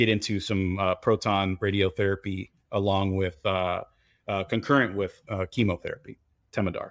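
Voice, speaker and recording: Using a monotone, flat intonation, a man with an American accent speaks at a fairly low pitch and a moderate pace. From Dominican Republic and US Northeast. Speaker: music producer and cancer patient. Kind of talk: interview.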